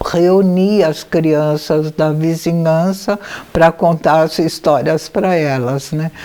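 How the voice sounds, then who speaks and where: A woman with a fairly low pitch speaks at a very slow pace with fairly even intonation over noticeable background noise. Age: 80s+. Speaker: anthroposophic physician. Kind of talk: biographical memoir talk. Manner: intimate, familiar.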